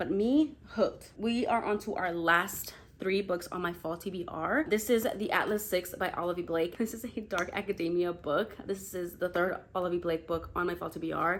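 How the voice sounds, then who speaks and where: A woman speaks at a fairly quick pace, her medium pitch rising and falling in an ordinary way. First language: not English. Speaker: book YouTuber. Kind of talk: casual chat. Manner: animated.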